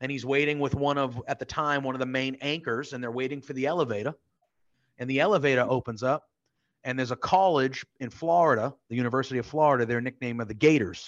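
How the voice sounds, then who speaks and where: Against a quiet background, a man with a Northeastern American accent talks very fast at a medium pitch. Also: ordinary pitch variation. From US Northeast. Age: 30s. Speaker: podcast co-host. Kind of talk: casual chat. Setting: video call.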